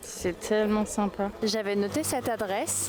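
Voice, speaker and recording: A woman with a fairly high voice speaks as noticeable noise carries on in the background. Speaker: travel vlogger. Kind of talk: casual vlog narration. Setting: outdoors, travelling in Japan. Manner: animated; whispering.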